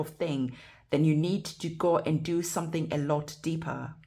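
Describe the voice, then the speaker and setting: A woman's very deep, low, somewhat breathy voice, monotone and flat, at a moderate pace. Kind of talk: tarot reading. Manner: stuttering.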